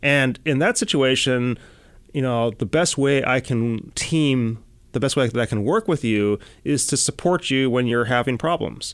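A man talks at a moderate pace with an American accent, medium pitch and ordinary pitch variation, in a plain, everyday voice. His loudness stays very even, and the recording is very clean with a silent background. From US Midwest, Chicago. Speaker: NASA robotics scientist. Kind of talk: interview.

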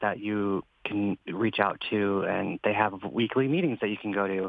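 A man's ordinary speaking voice, fairly low in pitch, at a moderate pace. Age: 30s. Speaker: NASA intern. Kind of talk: casual interview. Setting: video call.

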